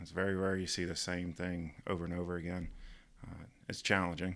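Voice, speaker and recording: Speaking very fast in a Southern US accent, a man with a very deep, low pitch keeps his intonation monotone and flat. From US South (Georgia). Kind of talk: casual chat.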